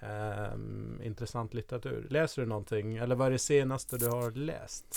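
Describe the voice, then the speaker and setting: This man has an unremarkable speaking voice, medium pitch, fairly even intonation and a moderate pace. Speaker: podcast co-host, marketer. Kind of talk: interview. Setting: studio.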